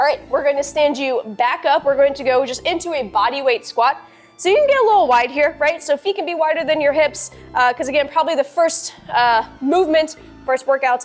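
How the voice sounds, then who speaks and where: A woman speaks at a fairly quick pace in a high voice with ordinary pitch variation, music playing in the background. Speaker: fitness instructor. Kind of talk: workout instruction. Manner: fast; animated.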